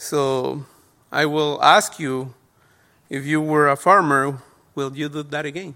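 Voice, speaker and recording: With a Spanish accent and a bright, sharp tone, a man speaks at a fairly high pitch and a fairly slow pace, his intonation fairly even and his words broken by long, frequent pauses, on a very clean recording with a silent background. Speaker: lay preacher. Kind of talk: sermon. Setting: church. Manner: halting.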